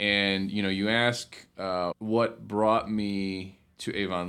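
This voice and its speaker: This man talks in a fairly low pitch with an Ohio accent. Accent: Midwestern American (Ohio). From Northeast Ohio, Cleveland Heights. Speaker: city community development director. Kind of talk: interview. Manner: hesitant with repetitions.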